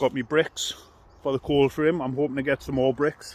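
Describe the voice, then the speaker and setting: This man's intonation stays fairly even. His voice sits at a medium pitch. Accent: Geordie. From northern England, Newcastle. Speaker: allotment vlogger. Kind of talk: casual vlog talk to camera. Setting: outdoors on allotment.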